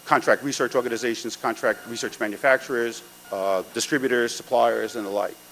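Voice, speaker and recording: Against light background noise, a man talks at a moderate pace. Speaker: event host introducing keynote. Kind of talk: conference introduction speech. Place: hall. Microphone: podium.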